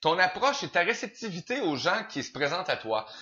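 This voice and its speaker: Speaking with a Quebec accent, a man moves at a moderate pace with very wide pitch swings. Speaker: interview show host. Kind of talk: interview.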